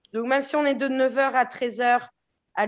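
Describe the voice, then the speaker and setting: A high-pitched woman's voice at a very slow pace. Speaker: real estate agent. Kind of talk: podcast interview.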